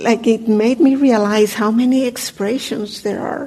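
A woman with a fairly high pitch and ordinary pitch variation speaks at a very slow pace over noticeable background noise. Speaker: meditation teacher. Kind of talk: dharma talk. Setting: meditation hall with audience, microphone.

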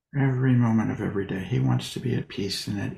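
A man speaks in a gentle, calm tone. His fairly low voice is somewhat breathy. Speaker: meditation teacher. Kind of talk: guided meditation. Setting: video call. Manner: slow, calm, soothing; gentle, with long pauses.

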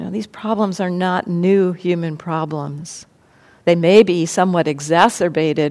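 With a plain, everyday voice, a woman talks at a fairly low pitch using fairly even intonation. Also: moderate pace. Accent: American. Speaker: meditation teacher. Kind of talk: dharma talk then group discussion. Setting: live room with audience. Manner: reflective, measured.

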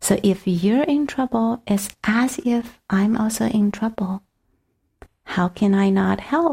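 At a very slow pace, a woman with a Chinese accent speaks in a somewhat breathy, fairly high voice with ordinary pitch variation, on a very clean recording with a silent background. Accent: Mandarin Chinese. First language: Mandarin Chinese. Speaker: meditation teacher. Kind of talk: dharma talk, partly guided meditation. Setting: retreat center talk with audience. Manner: halting, many fillers.

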